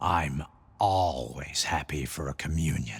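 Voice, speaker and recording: In a put-on character voice, a man growls at a very deep, low pitch, keeping a calm tone and a fairly slow pace. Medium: video game. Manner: calm, cryptic.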